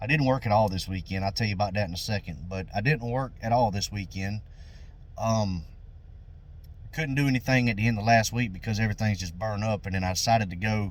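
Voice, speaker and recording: A man's fairly low voice in a Southern US accent, fairly quick in pace, with ordinary pitch variation and long, frequent pauses. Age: 40s. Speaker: lawn care business owner. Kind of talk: casual vlog talk.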